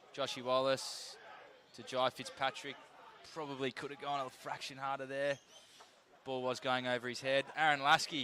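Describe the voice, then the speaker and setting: A man with an Australian accent speaks at a moderate pace in a medium pitch, his intonation monotone and flat, his loudness swinging widely, with long, frequent pauses. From Tasmania, Launceston. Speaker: football commentator. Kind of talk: live commentary.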